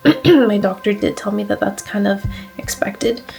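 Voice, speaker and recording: Over noticeable background noise, a woman talks at a fairly quick pace and medium pitch. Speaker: vlogger sharing surgery recovery. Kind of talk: casual vlog. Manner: hesitant, many fillers.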